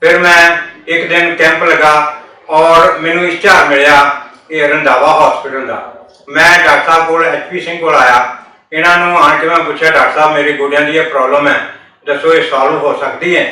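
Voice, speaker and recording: Against noticeable background noise and audible room echo, a man speaks. His intonation is monotone and flat. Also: fairly high pitch for a man. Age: 70s. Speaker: patient. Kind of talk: testimony.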